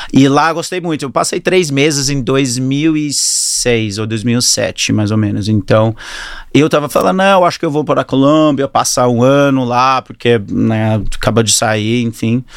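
Over noticeable background noise, a man with an English accent and medium pitch speaks at a fairly slow pace. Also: ordinary pitch variation. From New Zealand and Australia (Auckland-born, moved to Australia at 10). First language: English (speaking Portuguese). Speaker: fitness studio entrepreneur. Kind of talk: interview. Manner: halting.

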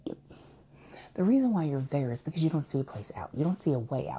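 With a dark, mellow tone, a woman speaks in a somewhat breathy voice with lively intonation. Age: 30s. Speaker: podcaster. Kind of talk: personal monologue. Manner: halting, many fillers.

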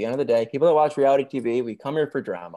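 Here a man speaks with a Midwestern accent and a dark, mellow tone. The recording is very clean, with a silent background. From Michigan. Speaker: reality TV reviewer on YouTube. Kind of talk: casual interview chat.

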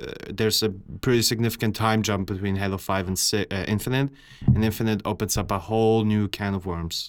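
Fairly quick, fairly even speech from a man with a fairly low pitch, on a very clean recording with a silent background. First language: not English. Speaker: podcast co-host. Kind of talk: casual chat.

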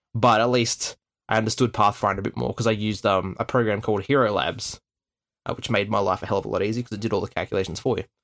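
Speaking very fast in an Australian accent, a man with a fairly low pitch keeps a fairly even intonation on a very clean recording with a silent background. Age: 20s. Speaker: podcast host and game master. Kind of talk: casual chat.

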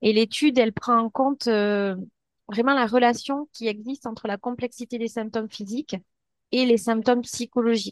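An unremarkable speaking voice with fairly even intonation, at a moderate pace. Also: woman, fairly high pitch for a woman, dry, close sound with no echo. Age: 30s. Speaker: psychologist. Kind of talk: interview.

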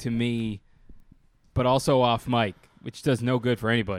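At a moderate pace, a man with medium pitch talks in an unremarkable speaking voice. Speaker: podcast co-host. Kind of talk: casual comedic banter. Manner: joking.

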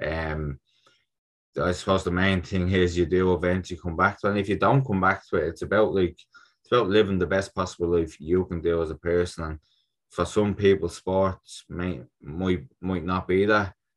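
Someone speaks with a Dublin accent and fairly even intonation. The background is quiet. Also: man, very deep, low pitch for a man, moderate pace. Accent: Dublin Irish. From Ireland, Dublin (North Strand). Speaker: Olympic boxer. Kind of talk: casual interview chat.

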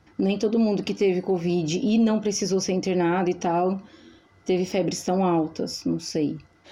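At a medium pitch and moderate pace, a woman speaks in a dark, mellow tone, with very even loudness and fairly even intonation. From interior of Brazil. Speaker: podcast co-host. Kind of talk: casual chat.

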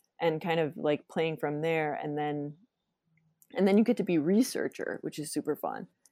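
A woman with an American accent speaks at a fairly low pitch in a dark, mellow tone, recorded dry and close with no echo. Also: ordinary pitch variation, moderate pace. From US Upper Midwest (Minnesota/Wisconsin). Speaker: scenic designer. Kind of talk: interview. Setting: remote recording.

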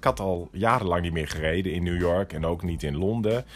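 Backed by music, a man with a very deep, low pitch keeps to a moderate pace. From Netherlands, Groningen. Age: 50s. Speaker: entrepreneur, interior shop owner. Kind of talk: interview.

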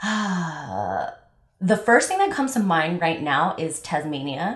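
Speaking at a very slow pace, a woman with an American accent has a fairly low pitch. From Los Angeles. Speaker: travel podcast co-host, event manager. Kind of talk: casual chat.

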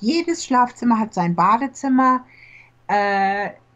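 A woman's somewhat breathy voice at a fairly slow pace, with lively intonation. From Germany. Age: middle-aged. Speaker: real estate agent. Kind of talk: casual interview.

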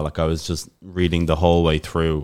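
A man with a Dublin accent, a very deep, low pitch, fairly even intonation and a fairly quick pace. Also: very clean recording, silent background. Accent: Irish, Dublin. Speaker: podcast co-host, language learner. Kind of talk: casual chat.

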